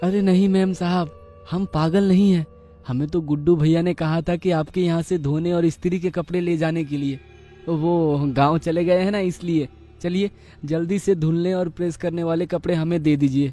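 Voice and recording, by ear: In a cartoonish character voice, a man talks at a high pitch and a moderate pace. Faint music plays in the background.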